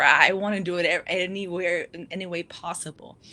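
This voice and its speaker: Amid noticeable background noise, a woman speaks at a medium pitch and a moderate pace. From Guatemala. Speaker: life coach. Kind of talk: interview. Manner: halting.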